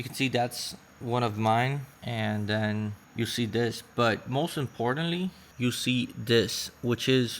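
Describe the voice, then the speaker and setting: A man with a non-native accent, medium pitch and a fairly slow pace. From Puerto Rico. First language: Spanish. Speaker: online seller vlogger. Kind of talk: vlog tutorial.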